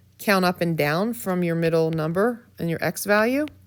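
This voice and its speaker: In a normal speaking voice, a woman talks at a fairly low pitch and moderate pace with ordinary pitch variation, recorded very cleanly against a silent background. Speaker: math teacher. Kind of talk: tutorial.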